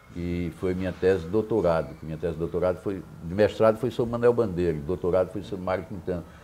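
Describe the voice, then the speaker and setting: A man's very deep, low voice, dark and mellow in tone, at a very fast pace with hardly any pauses. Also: ordinary pitch variation. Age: 70s. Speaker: poet. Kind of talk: interview.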